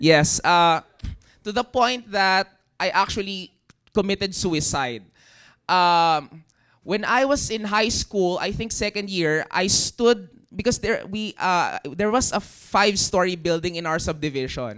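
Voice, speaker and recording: A man speaks at a high pitch with ordinary pitch variation and a bright, sharp tone. The background is quiet. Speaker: youth leader. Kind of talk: testimony.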